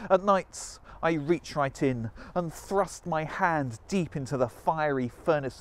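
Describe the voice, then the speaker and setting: A man speaks at a fairly slow pace with a dry sound and no echo. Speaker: spoken word poet. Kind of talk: performance poetry. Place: waterside. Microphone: lapel.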